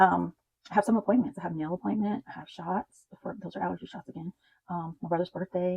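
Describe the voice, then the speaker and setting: A woman's fairly low voice with vocal fry at a very fast pace, dry and close with no echo. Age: 50s. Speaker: budgeting content creator. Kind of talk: casual talk to camera.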